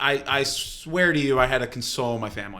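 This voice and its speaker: A man's fairly high, bright, sharp voice with ordinary pitch variation. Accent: New Jersey. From New Jersey. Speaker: chef. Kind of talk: casual chat. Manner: halting.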